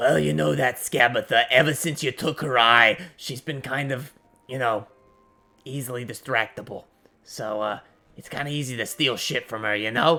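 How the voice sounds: Putting on a raspy character voice, a man speaks at medium pitch and a moderate pace.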